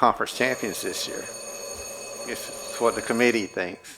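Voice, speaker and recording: A man mumbles against noticeable background noise. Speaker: radio show co-host. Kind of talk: casual chat. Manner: mumbling.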